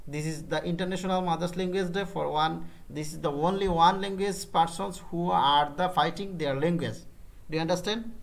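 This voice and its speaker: A man with a Bengali accent speaks in a high voice at a moderate pace, his intonation fairly even, with audible room echo. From Bangladesh. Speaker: freelance digital marketer. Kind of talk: business meeting. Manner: halting.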